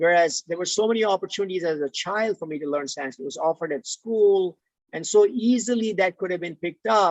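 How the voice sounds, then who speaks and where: The pace is very fast. The speaker has an Indian accent. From India, Mumbai. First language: Tulu. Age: 50s. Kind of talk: interview. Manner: halting.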